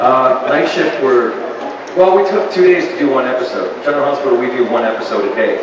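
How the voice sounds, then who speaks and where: A man talking at a fairly quick pace, with audible room echo and loud background noise. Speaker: actor on panel. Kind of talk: interview answer. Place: stage.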